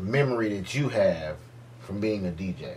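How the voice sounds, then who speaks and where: Against noticeable background noise, a man talks at a very slow pace with a fairly low pitch. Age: 20s. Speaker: DJ and podcast host. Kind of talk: casual chat.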